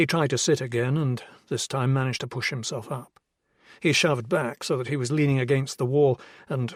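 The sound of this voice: Against a quiet background, an unforced reading voice moves with fairly even intonation.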